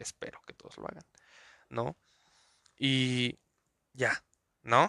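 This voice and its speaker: A man's medium-pitched voice with a Mexico City accent and a bright, sharp tone, at a fairly slow pace, dry and close with no echo, in a very clean recording with a silent background. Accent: Mexico City Spanish (chilango). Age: 20s. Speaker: podcaster. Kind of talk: casual monologue. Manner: animated.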